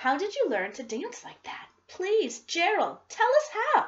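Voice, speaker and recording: Using a put-on character voice, a woman speaks at a fairly slow pace with extremely high pitch and very wide pitch swings. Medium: read story.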